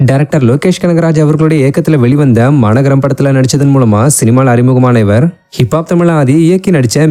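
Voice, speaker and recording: This man has a plain, everyday voice. He speaks at a fairly high pitch with ordinary pitch variation. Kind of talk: entertainment news narration.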